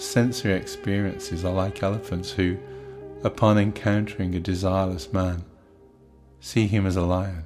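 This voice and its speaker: A man speaks in a fairly low voice with fairly even intonation. He pauses long and often, with music playing behind him. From British. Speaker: audiobook narrator. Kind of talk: spiritual text narration. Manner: slow, meditative, relaxing.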